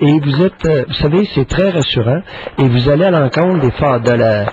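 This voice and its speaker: There is noticeable background noise as a man talks at a moderate pace. His pitch is fairly high and his intonation lively. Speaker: psychiatrist radio co-host. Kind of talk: call-in talk show. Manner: animated.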